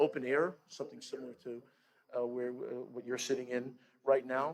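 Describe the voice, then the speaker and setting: With a New York accent, a man of medium pitch talks at a fairly quick pace. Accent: New York American. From US Northeast. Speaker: guest speaker. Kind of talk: speech to congregation. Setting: outdoor chapel. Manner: halting.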